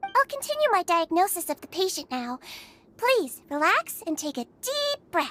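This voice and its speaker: In a put-on character voice, a woman sounds squeaky and extremely high-pitched, at a moderate pace, with very wide pitch swings and big swings in loudness, all dry and close with no echo. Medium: video game. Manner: soft, gentle, reassuring.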